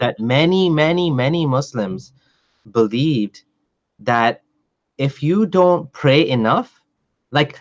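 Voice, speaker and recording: Against a quiet background, a man talks at a fairly slow pace in an unremarkable speaking voice. His pitch is fairly high. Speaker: podcast host. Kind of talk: casual podcast conversation.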